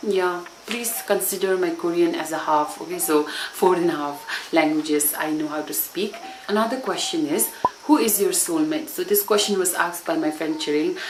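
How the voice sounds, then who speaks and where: With a Sikkimese accent, a woman with a fairly low voice speaks at a moderate pace with lively intonation, amid audible room echo and noticeable background noise. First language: Bhutia. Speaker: YouTube vlogger. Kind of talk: casual Q&A vlog. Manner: code-switching English and Nepali.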